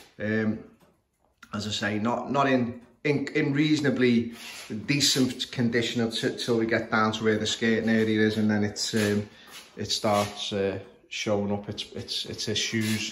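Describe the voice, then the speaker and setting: A man with a Scouse accent speaks at a medium pitch, fairly slowly and with fairly even intonation. Audible room echo and light background noise come through. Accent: Scouse (Liverpool English). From northern England, Liverpool. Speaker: clock repairer. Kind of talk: tutorial. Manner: halting, many fillers. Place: home room. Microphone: phone near.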